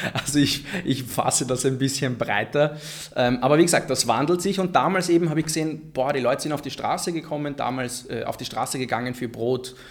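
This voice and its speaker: A man with a plain, everyday voice, fairly high pitch, ordinary pitch variation and a fairly quick pace. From Vienna, Austria (Favoriten), Egyptian family. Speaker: political scientist, deradicalisation expert. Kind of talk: panel discussion. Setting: live recording with audience.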